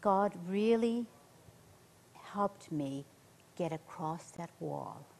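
A woman's fairly low voice at a very slow pace, with ordinary pitch variation and long, frequent pauses. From central Ireland. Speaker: nurse, missionary; interview guest. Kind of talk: interview, personal testimony. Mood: earnest testimony. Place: studio.

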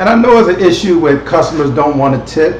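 A man talks fairly quickly, with light background noise and audible room echo around him. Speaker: online show host. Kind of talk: casual commentary. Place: home room. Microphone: webcam.

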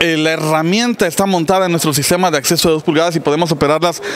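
Light background noise sits behind a high-pitched male voice. His pitch moves in an ordinary way. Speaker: company sales manager. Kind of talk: interview answer. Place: hall. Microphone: handheld.

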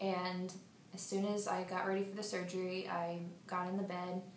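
Speaking in a monotone, flat intonation at a medium pitch, a woman is heard with audible room echo and light background noise. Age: 20s. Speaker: patient. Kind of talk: testimony. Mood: emotional, grateful. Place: office. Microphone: phone near.

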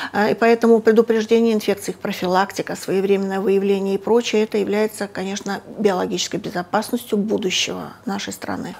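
A woman at a fairly quick pace, monotone and flat, with hardly any pauses. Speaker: medical researcher. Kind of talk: interview. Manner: halting. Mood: calm, serious. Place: office. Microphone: lapel.

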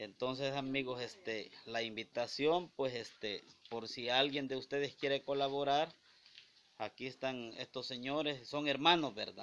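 This man talks at a fairly slow pace with a medium pitch and fairly even intonation. He has an unremarkable speaking voice. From El Salvador. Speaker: charity video host, interviewer. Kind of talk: on-location interview and appeal for donations. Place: home room. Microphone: phone near.

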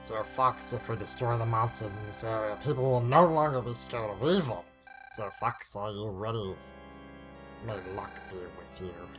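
Clear music plays in the background as a man at a medium pitch uses a put-on character voice with lively intonation. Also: moderate pace.

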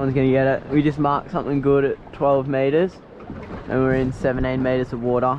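A man at a fairly quick pace, little pitch movement, faint background noise. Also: medium pitch for a man.

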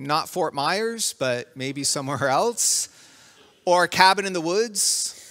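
At a slow pace, a man with a fairly high pitch talks in a bright, sharp tone with lively intonation.

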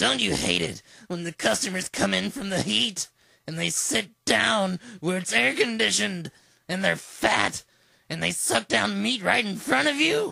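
A man speaks in a put-on character voice, pitched high. His pace is moderate. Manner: whiny, ranting.

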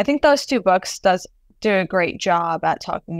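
A woman with an American accent and vocal fry talks at a moderate pace and medium pitch, her intonation lively. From US, first-generation Palestinian American. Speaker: artist. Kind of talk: interview conversation.

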